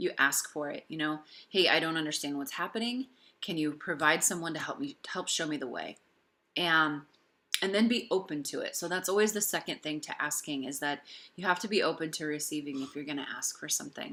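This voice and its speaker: A woman speaks at a fairly quick pace. Her fairly low voice has a bright, sharp tone. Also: ordinary pitch variation. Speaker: tarot reader. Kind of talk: private tarot reading. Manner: halting.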